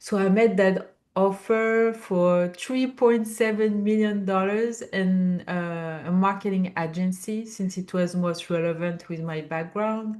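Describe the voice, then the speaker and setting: A woman with a French accent, medium in pitch, fairly slow and fairly even in intonation. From France. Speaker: business founder and CEO. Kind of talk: interview. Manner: halting, many fillers.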